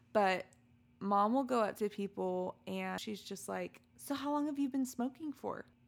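Speaking at a fairly slow pace, a woman of medium pitch uses lively intonation in an ordinary speaking voice. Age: 30s. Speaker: podcast co-host. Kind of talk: casual chat.

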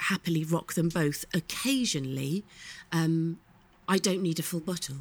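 Speaking at a fairly slow pace, a woman with a British accent has a fairly low pitch. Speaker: podcast co-host. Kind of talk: casual banter chat.

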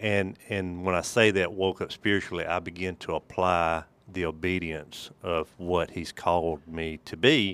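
A man with a Mississippi accent speaks at a very deep, low pitch in a very clean recording with a silent background. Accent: US Southern (Mississippi). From Mississippi, Holmes County. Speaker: church elder and trust company businessman. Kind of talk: casual interview.

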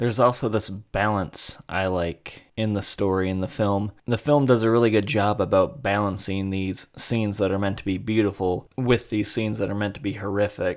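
Here is a man with an unremarkable speaking voice, fairly low in pitch, at a moderate pace with hardly any pauses and fairly even intonation. The recording is very clean, with a silent background. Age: 20s. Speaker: podcast host, film reviewer. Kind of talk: solo film review monologue.

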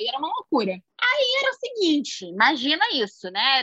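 A woman's raised, projected voice in a dry, close sound with no echo. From Rio de Janeiro, Brazil. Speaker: poet and singer. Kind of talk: casual chat.

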